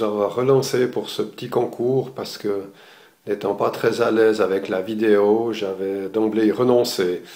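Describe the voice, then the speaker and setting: Very slowly, a man speaks at medium pitch with a dark, mellow tone. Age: 60s. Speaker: retired architect, amateur photographer giving course review. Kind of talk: video testimonial. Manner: halting, many hesitations.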